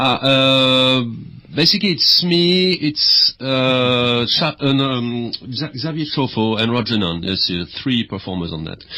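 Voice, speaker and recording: A man with a strong French accent at a fairly slow pace, lively in intonation, amid noticeable background noise. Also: medium pitch for a man. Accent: heavy French. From France. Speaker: music project founder and performer. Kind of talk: radio interview. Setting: radio studio.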